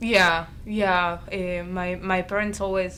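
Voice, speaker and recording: Heard with audible room echo, a woman talks at a fairly slow pace with fairly even intonation. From Argentina, Buenos Aires. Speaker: college student. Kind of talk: interview.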